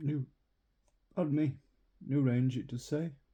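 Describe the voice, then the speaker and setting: Somewhat breathy, the man's voice has a dark, mellow tone, a fairly high pitch and a fairly slow pace. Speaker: hobby youtuber. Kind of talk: unboxing video. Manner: halting.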